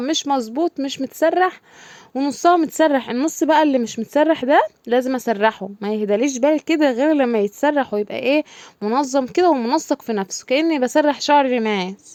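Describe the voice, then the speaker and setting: A woman talks at a moderate pace with high pitch and lively intonation. The sound is dry and close, with no echo. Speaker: home vlogger. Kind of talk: casual vlog narration. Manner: chatty, halting.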